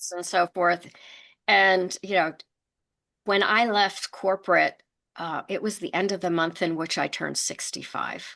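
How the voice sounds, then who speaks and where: A woman's bright, sharp voice with an American accent, monotone and flat, at a fairly slow pace with long, frequent pauses over a quiet background. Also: medium pitch for a woman. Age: 60s. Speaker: entrepreneur. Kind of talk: interview.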